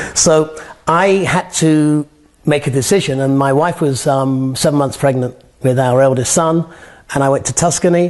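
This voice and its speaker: Against a quiet background, a man with an American accent and fairly high pitch speaks at a moderate pace, with very even loudness and fairly even intonation. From northern England. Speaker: artist. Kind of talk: interview. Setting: artist's studio. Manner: repetitive, halting with fillers. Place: workshop. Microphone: lapel.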